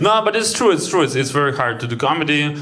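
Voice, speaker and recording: Speaking very fast with a Ukrainian accent, a man is heard over noticeable background noise and audible room echo. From Ukraine. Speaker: stand-up comedian. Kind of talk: stand-up. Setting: stage with audience.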